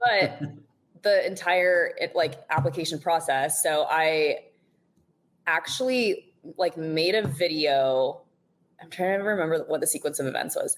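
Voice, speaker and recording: A woman with a fairly low pitch talks at a moderate pace. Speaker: reality TV contestant. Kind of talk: casual chat. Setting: podcast. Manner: monotone.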